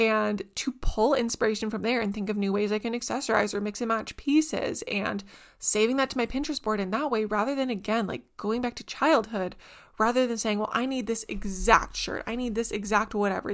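A woman speaks at a fairly quick pace in a Canadian accent, her tone animated, on a very clean recording with a silent background. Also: fairly high pitch for a woman. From Canada, small town. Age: 20s. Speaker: podcast host. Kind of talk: casual chat.

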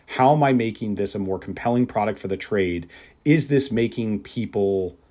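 A man with an American accent and an ordinary speaking voice talks at a moderate pace, fairly low in pitch with ordinary pitch variation, on a very clean recording with a silent background. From US Midwest. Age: 30s. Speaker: spirits industry executive. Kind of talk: interview.

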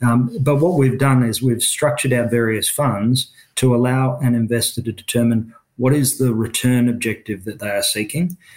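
A man with an Australian accent and medium pitch speaks at a moderate pace with fairly even intonation in a very clean recording with a silent background. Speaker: finance executive. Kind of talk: interview. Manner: halting, with filler words.

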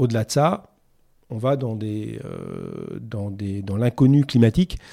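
On a very clean recording with a silent background, a man speaks fairly slowly at a medium pitch, his tone dark and mellow with ordinary pitch variation. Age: 50s. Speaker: sustainability executive in construction. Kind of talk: interview. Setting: studio.

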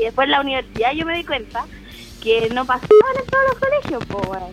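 Over noticeable background noise, a woman with a Chilean accent talks at a very fast pace and a high pitch. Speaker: guest on youth radio comedy show. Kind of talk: casual chat.

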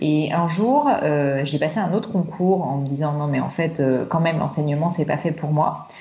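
Over noticeable background noise and audible room echo, a woman with a very deep, low pitch speaks at a moderate pace with ordinary pitch variation, very even loudness and hardly any pauses. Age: 30s. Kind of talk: casual chat. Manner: hesitant, with fillers and repetitions.

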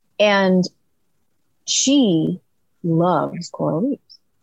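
A woman with an American accent, medium pitch and a somewhat breathy, animated tone, her intonation lively. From US Pacific Northwest, outside Seattle. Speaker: UN climate policy expert. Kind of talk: interview.

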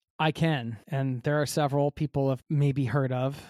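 A man with an American accent and an ordinary speaking voice talks at a fairly quick pace with medium pitch, in a dry, close sound with no echo and a very clean recording over a silent background. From United States. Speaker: travel podcaster. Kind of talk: interview.

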